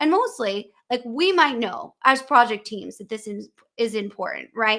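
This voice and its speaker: On a very clean recording with a silent background, a woman with an American accent speaks at a moderate pace in a high, bright, sharp voice with lively intonation. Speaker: podcast host. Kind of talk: live interview conversation.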